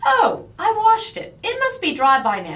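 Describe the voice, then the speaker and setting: A female-sounding put-on character voice, extremely high in pitch, at a moderate pace. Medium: read story.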